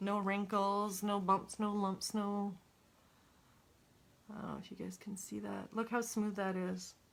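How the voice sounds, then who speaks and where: A woman's medium-pitched, monotone voice at a fairly slow pace, with big swings in loudness and long, frequent pauses. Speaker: crafter. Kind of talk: tutorial. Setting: live stream. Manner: casual.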